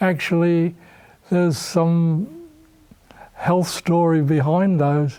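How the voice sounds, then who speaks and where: A man's high-pitched voice at a very slow pace, with fairly even intonation and long, frequent pauses. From Australia. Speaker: nutrition professor. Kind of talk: interview.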